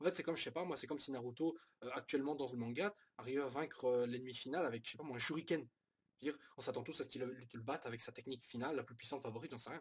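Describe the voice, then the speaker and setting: A man rattles along at a very fast pace, his medium-pitched voice showing ordinary pitch variation. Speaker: manga reviewer. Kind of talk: casual review monologue. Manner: halting, many fillers.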